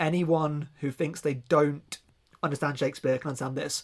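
A man's fairly high-pitched voice, with a southern English accent and fairly even intonation. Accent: southern English, regional. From southern England, near Reading. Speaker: podcast host. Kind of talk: casual podcast chat.

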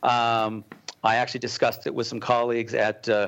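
A normal speaking voice at a fairly quick pace. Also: man. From Colorado. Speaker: cause-brand entrepreneur. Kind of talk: interview.

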